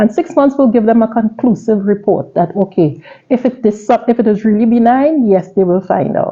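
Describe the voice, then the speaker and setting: The woman has a plain, everyday voice with a fairly high pitch. She talks at a moderate pace with very even loudness. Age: 60s. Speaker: cancer survivor. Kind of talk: testimony.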